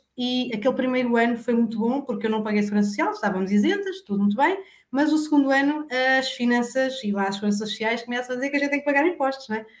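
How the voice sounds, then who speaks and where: A woman's high voice at a very fast pace, with lively intonation. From Portugal, Santarém area (Alcanhões). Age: 40s. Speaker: insurance broker and cosmetics sales director. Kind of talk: interview, casual chat.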